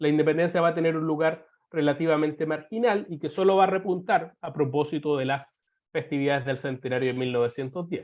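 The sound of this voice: Nasal and fairly high-pitched, a man talks at a fairly quick pace with fairly even intonation.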